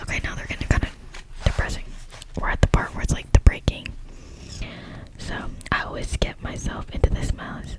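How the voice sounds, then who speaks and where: Whispering at a fairly quick pace, a woman leaves long, frequent pauses and makes big swings in loudness over noticeable background noise. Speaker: ASMR creator. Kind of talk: casual talk to camera. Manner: whispered.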